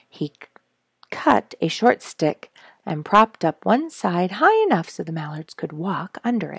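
A woman speaks at a fairly slow pace in a normal speaking voice, her pitch fairly low, her intonation lively. The background is quiet and the sound is dry with no echo. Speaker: storyteller reading a children's book. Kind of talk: read-aloud storytelling. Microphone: headset.

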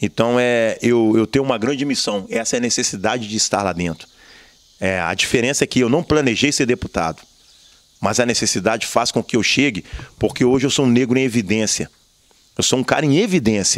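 A man speaks fairly quickly, his pitch varying in an ordinary way against a quiet background. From Brazil, Juiz de Fora (Minas Gerais); Minas Gerais, Brazil. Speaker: activist and former city council candidate; council candidate. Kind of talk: interview. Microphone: handheld.

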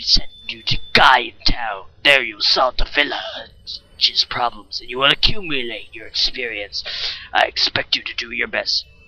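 A man puts on a raspy character voice pitched fairly high. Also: moderate pace. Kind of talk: mock-solemn read-aloud of game dialogue. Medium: game stream. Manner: grandiose, commanding.

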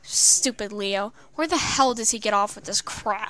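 A woman puts on a gruff character voice. It sits fairly high in pitch. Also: moderate pace, ordinary pitch variation. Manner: annoyed, grumbling.

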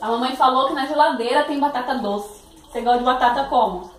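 A woman with a high-pitched voice talks at a moderate pace. Light background noise and audible room echo are present. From Paraná, Brazil. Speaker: vlogger, mother; vlogger mother. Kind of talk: casual vlog chat. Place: kitchen.

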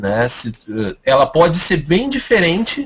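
A man with a Brazilian accent speaks at a high pitch over noticeable background noise. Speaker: tabletop RPG podcaster. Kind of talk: casual chat. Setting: video call.

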